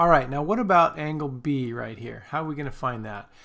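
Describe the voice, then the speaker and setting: In a very clean recording with a silent background, a man with a plain, everyday voice talks at a moderate pace, fairly high in pitch, with ordinary pitch variation. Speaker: math teacher. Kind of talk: tutorial.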